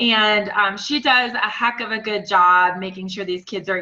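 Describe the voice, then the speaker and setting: The intonation is fairly even, with noticeable background noise. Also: woman. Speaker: webcast host. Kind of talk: webcast panel introduction. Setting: conference call. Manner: casual, filler words.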